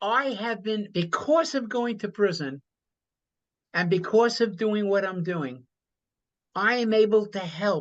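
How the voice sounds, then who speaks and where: Over a quiet background, a man talks at a fairly slow pace. His pitch is high and his intonation lively. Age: 80s+. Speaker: former prisoner and business coach. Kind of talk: interview.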